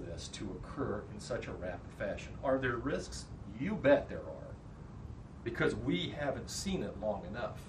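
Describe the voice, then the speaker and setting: A man with an American accent at a moderate pace, audible room echo and noticeable background noise. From Kansas. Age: 60s. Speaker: public health officer. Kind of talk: presentation.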